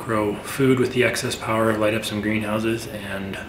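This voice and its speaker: Over noticeable background noise, a man speaks at a fairly quick pace. His fairly low voice keeps a monotone, flat intonation. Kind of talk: casual vlog chat. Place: workshop.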